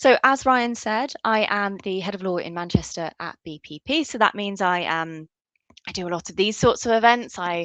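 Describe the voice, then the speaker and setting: With a Southwest England accent, a woman talks in a bright, sharp tone and lively intonation, her dry, close sound carrying no echo over a quiet background. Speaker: law school lecturer. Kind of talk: online workshop presentation. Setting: virtual event.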